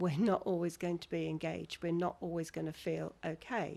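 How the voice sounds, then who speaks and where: A woman talks at a moderate pace in a fairly low pitch. Hers is a plain, everyday voice. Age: 60s. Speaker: therapist. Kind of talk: casual chat.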